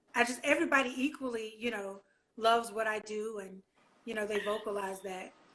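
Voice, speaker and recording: A woman with a Southern US accent speaks at a fairly quick pace and a fairly high pitch, her tone bright and sharp, with ordinary pitch variation. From Louisiana. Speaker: gospel singer. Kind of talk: casual interview.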